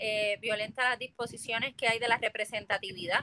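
Her tone is bright and sharp. The woman's pitch is fairly high. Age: 30s. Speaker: political candidate. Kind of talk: interview.

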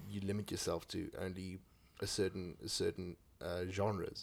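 A man with a South African accent speaks at a moderate pace. His very deep, low voice stays monotone and flat. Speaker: podcast host. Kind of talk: casual chat. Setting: home studio.

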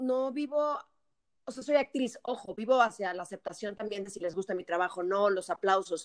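Energetic in tone, a woman speaks with lively intonation and big swings in loudness, the sound dry and close with no echo. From Mexico. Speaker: actress and TV presenter. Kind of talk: casual chat.

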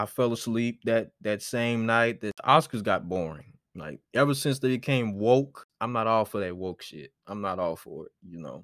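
A man speaks in a plain, everyday voice at a moderate pace with lively intonation and hardly any pauses. The recording is very clean with a silent background, dry and close with no echo. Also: medium pitch for a man. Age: 20s. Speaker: podcast host and film student. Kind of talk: casual solo monologue.

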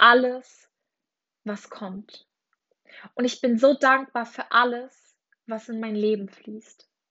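The speaker talks at a very slow pace. The intonation is monotone and flat. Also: woman, long, frequent pauses, big swings in loudness. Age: 20s. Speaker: life coach. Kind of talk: guided meditation; affirmations read aloud.

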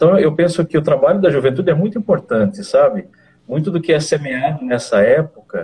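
A man speaks with a dark, mellow tone that is somewhat breathy. His intonation is lively. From Brazil, interior of São Paulo (Leme). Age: 50s. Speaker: missionary. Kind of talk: interview, personal testimony.

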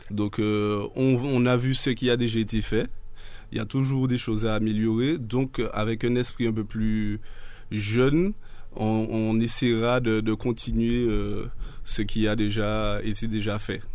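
A man speaks very slowly at a medium pitch, his intonation monotone and flat. His loudness stays very even, and room echo is audible. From Martinique. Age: 30s. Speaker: local political activist. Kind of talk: radio interview.

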